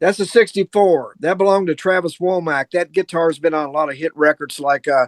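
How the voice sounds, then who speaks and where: At a fairly quick pace with hardly any pauses, a man speaks in a high voice with ordinary pitch variation, the sound dry and close with no echo. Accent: Kentucky. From Kentucky (Louisville, south central Kentucky). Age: 70s. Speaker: guitarist. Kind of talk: casual chat.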